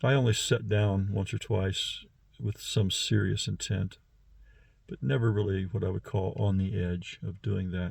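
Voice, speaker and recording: A man's fairly low, somewhat breathy voice at a fairly slow pace, in a very clean recording with a silent background. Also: ordinary pitch variation. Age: 60s. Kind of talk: personal monologue. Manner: halting, many fillers.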